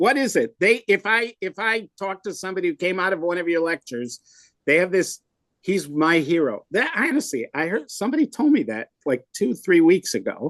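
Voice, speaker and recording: With a Wisconsin accent, the man speaks at a moderate pace in a high pitch that makes very wide swings. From US Midwest, Milwaukee, Wisconsin. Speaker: rabbi, podcast co-host. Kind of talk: casual chat. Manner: animated.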